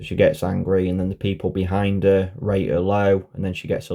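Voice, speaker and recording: Speaking at a moderate pace, a man with a British accent has a very deep, low pitch. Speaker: conspiracy vlogger. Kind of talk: casual monologue. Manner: halting.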